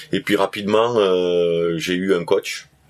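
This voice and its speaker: At a very slow pace, a man speaks with fairly low pitch and ordinary pitch variation. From southern France. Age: 40s. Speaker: trail runner, history-geography teacher. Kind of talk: interview. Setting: at a race event in Canada.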